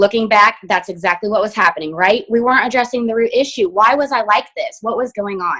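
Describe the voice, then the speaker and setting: At a fairly quick pace, a woman with a fairly high voice and an energetic tone talks with ordinary pitch variation. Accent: American. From Indiana, US Midwest. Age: 30s. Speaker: hairstylist and direct sales distributor. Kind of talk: personal testimony on a team video call. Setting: video call. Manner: fast.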